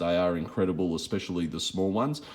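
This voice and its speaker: With an Australian accent, a man is talking. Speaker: fishing lure vlogger. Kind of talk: casual gear walkthrough. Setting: home shed at night.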